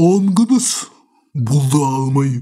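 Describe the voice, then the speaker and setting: This is a put-on character voice. Its pitch sits low-to-middle. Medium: fan dub. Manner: authoritative, calm.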